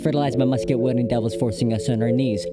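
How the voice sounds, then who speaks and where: A man talking at a very fast pace with ordinary pitch variation, audible room echo and music in the background. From Filipino heritage. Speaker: spoken word poet. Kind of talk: spoken word poetry performance. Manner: rhythmic.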